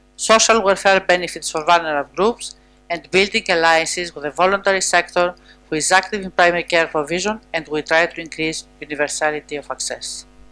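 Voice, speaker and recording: A woman's fairly low voice at a fairly quick pace, with music in the background. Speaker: health policy official. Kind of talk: conference panel statement. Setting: conference panel with audience. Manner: formal.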